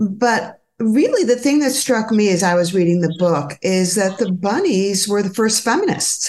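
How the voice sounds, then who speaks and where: A woman with an ordinary speaking voice talks at a moderate pace and medium pitch, her intonation lively, her loudness very even, and hardly any pauses. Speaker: podcast host, gynecologist. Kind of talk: interview conversation.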